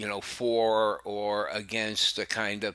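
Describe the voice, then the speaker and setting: In a very clean recording with a silent background, a man with a fairly low pitch speaks very slowly in a bright, sharp tone. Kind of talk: casual monologue to subscribers. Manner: halting, many fillers.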